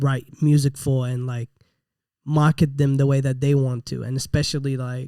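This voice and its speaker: A dark, mellow tone comes at a moderate pace with monotone, flat intonation and a dry, close sound with no echo. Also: man, fairly high pitch for a man. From Middle East (Iraq-born, raised partly in UAE). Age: 30s. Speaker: rapper and gym owner. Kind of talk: interview. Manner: casual, filler-heavy.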